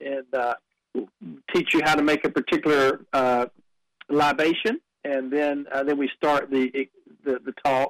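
A man with a North Carolina accent, fairly high pitch and moderate pace, in a dry, close sound with no echo. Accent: Southern US (North Carolina). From North Carolina, Dunn and Wilmington. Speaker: museum director. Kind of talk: radio interview.

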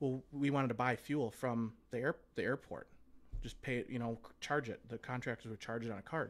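A man speaks with fairly even intonation in a plain, everyday voice. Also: medium pitch for a man. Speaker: Air Force veteran. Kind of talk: casual chat. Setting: studio.

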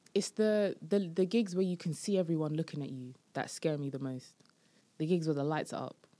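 Talking fairly quickly in a London accent, a woman with a fairly low pitch and a dark, mellow tone shows ordinary pitch variation. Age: 20s. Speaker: comedian. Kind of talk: casual chat.

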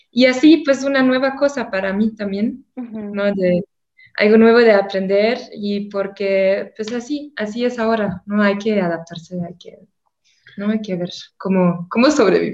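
The pace is fairly slow. Loudness swings widely from moment to moment. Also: woman, fairly high pitch for a woman, ordinary pitch variation. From Germany. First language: German (speaking Spanish). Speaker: tour guide. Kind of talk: casual chat.

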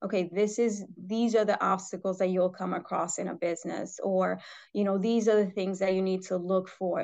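A woman speaks with an American accent at a medium pitch. Her intonation is monotone and flat, and her pace is moderate. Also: quiet background. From New York City. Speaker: footwear product development executive. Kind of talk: interview. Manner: many fillers.

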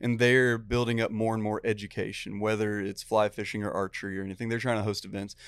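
With an American accent, a man rattles along at a very fast pace with hardly any pauses, his fairly low voice monotone and flat. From Texas. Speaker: fly fishing guide and teacher. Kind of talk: casual chat.

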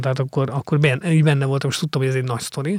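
A man's fairly high voice is captured dry and close, with no echo. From Hungary, Mór (Fejér county). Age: 40s. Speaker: investigative journalist and author. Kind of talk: interview. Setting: studio. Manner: halting, many fillers.

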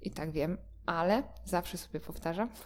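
A dark, mellow tone from a woman with a fairly low pitch. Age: 20s. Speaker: dog trainer and podcaster. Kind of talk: solo monologue podcast. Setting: at home. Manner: hesitant, with repeated words.

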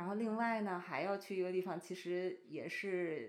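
Here a woman has a plain, everyday voice. Her pace is moderate. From China. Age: 30s. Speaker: bride-to-be friend. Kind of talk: casual chat.

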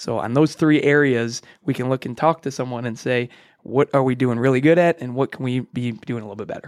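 On a very clean recording with a silent background and a dry, close sound with no echo, a man with an American accent and an unremarkable speaking voice talks at medium pitch and a fairly quick pace with fairly even intonation. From US Midwest, Illinois. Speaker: chiropractor. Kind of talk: podcast interview. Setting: recording studio.

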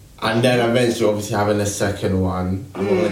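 A man's fairly low voice at a very fast pace with ordinary pitch variation, amid noticeable background noise and audible room echo. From UK. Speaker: radio host. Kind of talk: casual radio show. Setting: radio studio. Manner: laughing often.

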